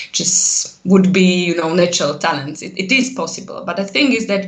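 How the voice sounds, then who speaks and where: Over noticeable background noise and audible room echo, a woman talks very fast at a medium pitch. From central Slovakia. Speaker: translation lecturer and researcher. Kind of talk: casual interview.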